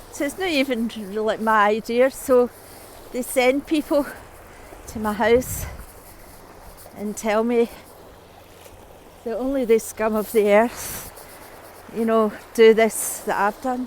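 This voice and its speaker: A woman's fairly high voice at a very slow pace, with long, frequent pauses, fairly even intonation and noticeable background noise. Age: 60s. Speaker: vlogger. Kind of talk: monologue vlog. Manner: halting.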